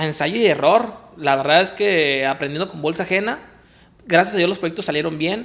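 In a normal speaking voice, a man talks at a moderate pace and a fairly high pitch, with ordinary pitch variation. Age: 20s. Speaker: architect and real estate developer. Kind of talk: interview. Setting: office.

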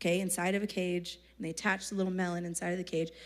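A woman with an American accent sounds animated on a very clean recording with a silent background. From Texas. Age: 30s. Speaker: youth speaker. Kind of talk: sermon. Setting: stage with audience.

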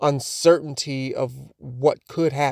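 In a very clean recording with a silent background and a dry, close sound with no echo, a man with a plain, everyday voice speaks at fairly high pitch with fairly even intonation. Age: 30s. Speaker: interviewee sharing personal perspective. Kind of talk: prepared personal statement.

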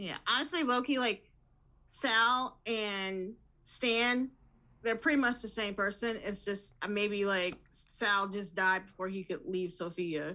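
The recording is very clean, with a silent background. A woman with an American accent speaks very slowly in a bright, sharp tone at a medium pitch with ordinary pitch variation. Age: 40s. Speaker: podcaster, guest co-host. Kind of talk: casual chat.

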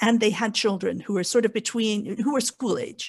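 Over a quiet background, a woman speaks at a fairly high pitch with ordinary pitch variation. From Canada. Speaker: podcast guest, convert parent. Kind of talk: casual discussion.

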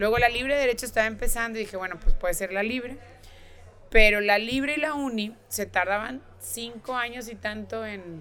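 A woman has an unremarkable speaking voice at a fairly high pitch. Her loudness swings widely. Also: ordinary pitch variation, moderate pace. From northern Mexico (Nuevo León). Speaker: politician, gubernatorial candidate. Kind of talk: interview.

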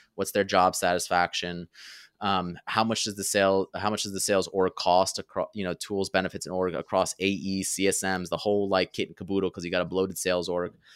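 On a very clean recording with a silent background, a man speaks with a very deep, low pitch in a dry, close sound with no echo. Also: fairly quick pace. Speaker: author and founder of a sales-marketing community. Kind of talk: interview conversation. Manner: animated.

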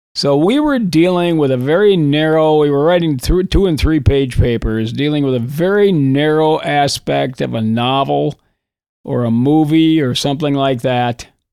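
Here a man talks with an Upper Midwest accent at a moderate pace. His pitch is fairly high with ordinary variation. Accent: Upper Midwest (Minnesota). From northern Minnesota, Iron Range. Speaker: retired high school English teacher. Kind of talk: casual interview.

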